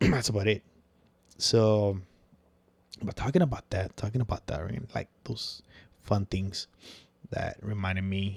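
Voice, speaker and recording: Somewhat breathy, a man speaks with a Spanish accent and fairly even intonation. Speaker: podcast host. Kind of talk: casual chat. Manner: casual, filler-heavy.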